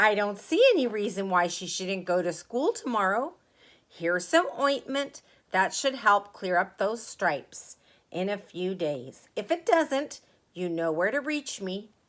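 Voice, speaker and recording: A raspy, put-on character voice that sounds female uses a medium pitch for a woman and moves at a moderate pace. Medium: read story.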